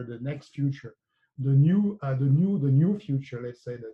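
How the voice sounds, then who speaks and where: A man's somewhat breathy voice with a French accent. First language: French (speaking Portuguese). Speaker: economics professor. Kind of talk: academic seminar presentation. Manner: halting, many fillers.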